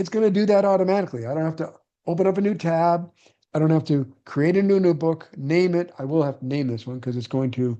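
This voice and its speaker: Speaking at a very fast pace over a quiet background, a man has a fairly high pitch, a dark, mellow tone and ordinary pitch variation. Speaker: real estate investor and coach; online meeting host. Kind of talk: live online class. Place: home room. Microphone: webcam.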